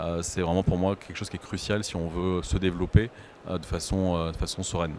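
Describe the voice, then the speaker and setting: In a monotone, flat intonation, a man talks at a fairly quick pace with a very deep, low pitch. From southern France, Aix-en-Provence. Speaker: short-term rental consultant. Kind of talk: panel discussion. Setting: stage with audience at trade show. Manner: hesitant, many fillers.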